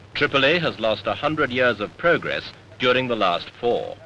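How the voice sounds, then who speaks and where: Noticeable background noise runs through the clip. A man talks over it at a moderate pace. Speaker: newsreel narrator. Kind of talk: vintage newsreel narration, dramatic and authoritative. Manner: grave, emphatic, declamatory.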